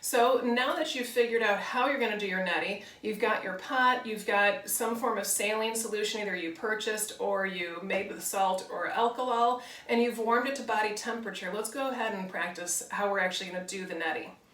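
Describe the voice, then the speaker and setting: A woman talks at a fairly quick pace with hardly any pauses, her pitch fairly high. Audible room echo and noticeable background noise surround her voice. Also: ordinary pitch variation. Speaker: bodywork and yoga teacher. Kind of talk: tutorial. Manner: calm, relaxed.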